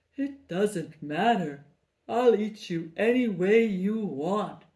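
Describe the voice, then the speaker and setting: In a put-on character voice at a medium pitch, a woman speaks at a very slow pace. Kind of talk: children's storytelling. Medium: read story. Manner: eager, breathy exclamations starting with "oh".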